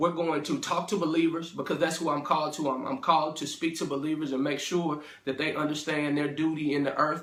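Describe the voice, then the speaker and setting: Against noticeable background noise, a man with an American accent talks at a very fast pace in a fairly high voice. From St. Louis area, Missouri (Ferguson). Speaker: motivational speaker / minister. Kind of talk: inspirational talk to camera. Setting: self-recorded video. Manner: casual, filler-heavy (um, uh).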